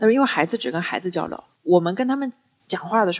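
Her medium-pitched voice has an animated tone, and the woman's intonation is lively. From Wuxi, Jiangsu. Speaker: public speaking coach. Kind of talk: casual chat.

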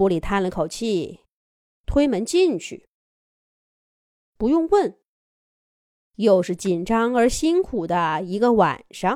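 A woman speaks slowly at a medium pitch, with a slightly mellow tone, big pitch swings, and long, frequent pauses. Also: very clean recording, silent background.

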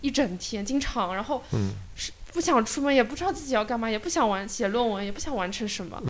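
A woman talks at a very fast pace with lively intonation and a fairly high pitch. Noticeable background noise sits behind her. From Shanghai, China. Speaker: community activist and piano teacher. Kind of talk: casual interview chat. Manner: halting, many fillers.

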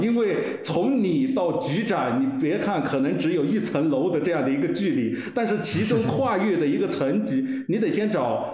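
A man speaks at a moderate pace in a high voice with very wide pitch swings. Noticeable background noise and audible room echo fill the recording. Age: 40s. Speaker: former civil servant and leader's secretary. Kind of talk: casual interview chat. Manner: halting, many fillers.

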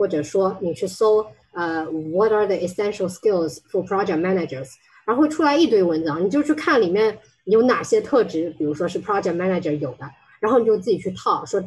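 At a fairly quick pace, a woman talks with lively intonation and a medium pitch. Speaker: HR technology consultant. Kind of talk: presentation talk. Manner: halting, many fillers.

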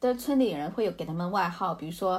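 A woman's somewhat breathy voice at a fairly quick pace. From rural China, Hunan-Jiangxi border. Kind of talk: casual interview.

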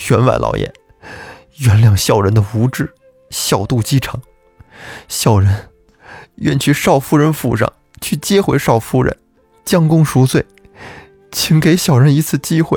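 A man in a put-on character voice shows big pitch swings, vocal fry, a slightly mellow tone and a slightly husky edge, with long, frequent pauses and faint music in the background. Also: medium pitch for a man, fairly slow pace.

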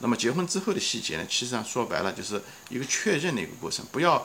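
A man's fairly quick, lively-toned speech over noticeable background noise. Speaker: podcast host. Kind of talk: solo investing talk. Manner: casual with many fillers.

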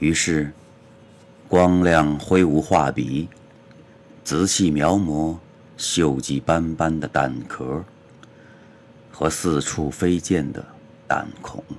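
A man's very deep, low voice, very slow with long, frequent pauses and fairly even intonation. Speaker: poet reading own poems. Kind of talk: poetry reading.

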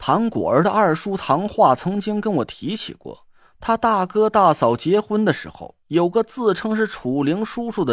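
A natural voice reading aloud

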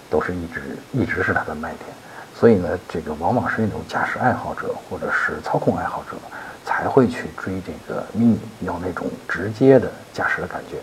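Noticeable background noise runs under this recording. A man talks at a fairly quick pace. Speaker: car expert answering listener questions. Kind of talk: listener Q&A advice monologue. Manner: many filler sounds, loose conversational pacing.

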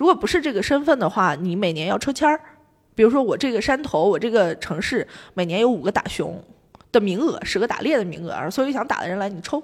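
Speaking at a very fast pace, a woman with a fairly high voice swings very widely in pitch. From Xi'an, China. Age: 20s. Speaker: podcast guest, former student abroad in Canada. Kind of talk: casual chat. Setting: office meeting room.

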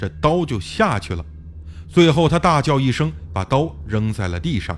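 Here the voice is plain reading aloud.

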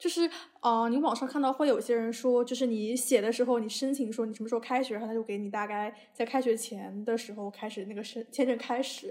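Speaking at a fairly quick pace, a woman uses a plain, everyday voice that is fairly high and fairly even in intonation. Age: 20s. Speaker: podcast host, university student. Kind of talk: casual chat.

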